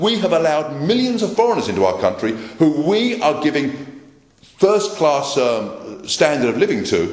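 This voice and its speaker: With a London accent, a man speaks at a moderate pace with a fairly high pitch, very wide pitch swings and very even loudness, over noticeable background noise and audible room echo. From London, England. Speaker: political speaker. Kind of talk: political speech. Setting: meeting with live audience. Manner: repetitive, emphatic.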